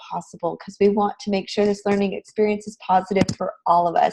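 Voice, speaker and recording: Medium pitch from a woman with an American accent, somewhat breathy and fairly quick, in a dry, close sound with no echo. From Texas. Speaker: design instructor. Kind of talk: online lecture. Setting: live online class session.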